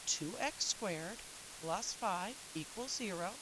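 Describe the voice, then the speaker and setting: A woman speaks at a medium pitch with lively intonation. Noticeable background noise runs behind her. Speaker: math teacher. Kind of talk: video lesson tutorial.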